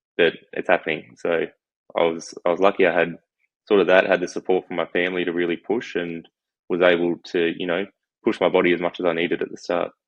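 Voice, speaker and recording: A man with an Australian accent talks at a very fast pace. His very deep, low voice stays in a flat monotone. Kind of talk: podcast interview answer.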